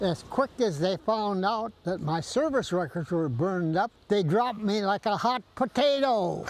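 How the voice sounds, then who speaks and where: A man with a high pitch speaks at a fairly slow pace, with very even loudness and hardly any pauses. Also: lively intonation. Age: 80s+. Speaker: war veteran. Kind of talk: interview answer.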